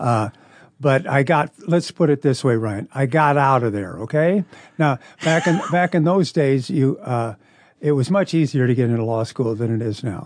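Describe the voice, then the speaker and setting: With lively intonation, a man speaks in a Midwestern American accent. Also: medium pitch for a man, moderate pace. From Nebraska, Omaha. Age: 70s. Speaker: retired lawyer and volunteer reader. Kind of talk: interview. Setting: studio.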